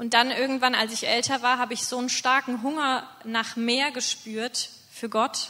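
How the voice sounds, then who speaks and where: Against noticeable background noise, a woman with a high pitch talks at a moderate pace in a monotone, flat intonation. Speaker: mission team leader. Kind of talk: testimony. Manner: halting.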